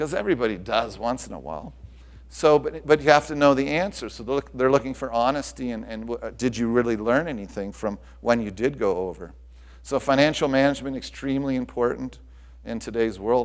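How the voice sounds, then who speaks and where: Talking at a fairly quick pace, a man of medium pitch shows ordinary pitch variation and big swings in loudness. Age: 60s. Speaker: tennis club director and executive recruiter. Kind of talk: conference presentation. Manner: halting, many repetitions.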